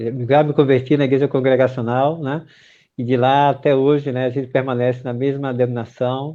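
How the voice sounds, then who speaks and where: With a northeastern Brazilian accent, a man speaks at a moderate pace and medium pitch in monotone, flat intonation. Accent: northeastern Brazilian, Pernambuco. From Pernambuco, Recife. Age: 50s. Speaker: pastor. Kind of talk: interview. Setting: live stream.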